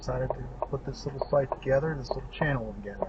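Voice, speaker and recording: A man with a Pittsburgh accent, against noticeable background noise. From Pittsburgh, Pennsylvania. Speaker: local area video host. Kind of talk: unscripted drive-around narration. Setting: in a car. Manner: casual with frequent filler uhs.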